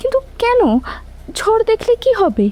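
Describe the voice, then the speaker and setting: A soft-spoken woman puts on a character voice at an extremely high pitch, her intonation fairly even, the sound dry and close with no echo and light background noise. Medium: audio drama. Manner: soft, hesitant.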